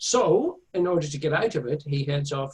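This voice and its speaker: The man's voice is somewhat breathy, and he talks at a moderate pace. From Northern Ireland (Belfast, County Tyrone). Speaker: author and illustrator. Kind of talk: interview. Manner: halting, many fillers.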